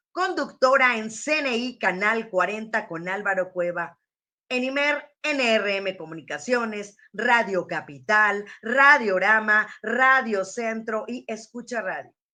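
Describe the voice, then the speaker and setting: With lively intonation, a woman speaks in a bright, sharp, fairly high voice. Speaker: radio announcer. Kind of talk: interview host.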